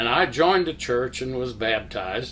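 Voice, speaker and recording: Lively intonation from a man at medium pitch. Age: 70s. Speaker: church member, Sunday school teacher. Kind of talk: testimony. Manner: halting.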